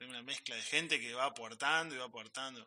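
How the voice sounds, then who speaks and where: Against noticeable background noise, a man speaks very fast at a medium pitch with ordinary pitch variation. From Córdoba hills, Argentina. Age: 30s. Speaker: musician. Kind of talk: interview.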